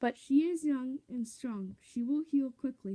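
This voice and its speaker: High-pitched put-on character voice from a woman, delivered fairly slowly. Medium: read story. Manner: calm.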